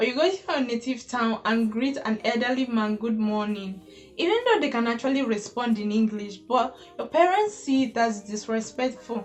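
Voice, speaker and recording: Music plays behind a woman speaking with a Nigerian accent. Her pitch is fairly high and varies in an ordinary way. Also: moderate pace. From Nigeria (Igbo). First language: Igbo. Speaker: YouTuber. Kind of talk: casual vlog monologue.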